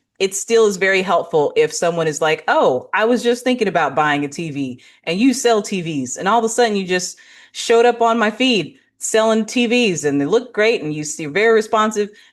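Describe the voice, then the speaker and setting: Against a quiet background, a woman with an American accent speaks in a normal speaking voice at medium pitch. Her intonation is lively and her pace moderate. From California. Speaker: business strategist and marketing presenter. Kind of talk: business presentation.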